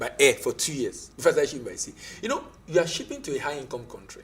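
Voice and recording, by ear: Fast and full of big pitch swings, a man speaks at a medium pitch with a fairly bright tone and a slightly husky edge.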